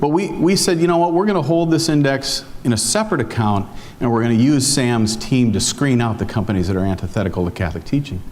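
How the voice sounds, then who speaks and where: Someone with a Minnesota accent talks very fast with hardly any pauses, very wide pitch swings and very even loudness, amid audible room echo and noticeable background noise. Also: man, medium pitch for a man. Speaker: foundation investment officer. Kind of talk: conference talk. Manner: hesitant, many fillers.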